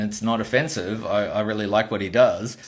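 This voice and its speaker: A man speaks with a strong Australian accent in an animated tone. His voice is somewhat breathy. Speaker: toy maker and vlogger. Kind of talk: casual storytelling monologue.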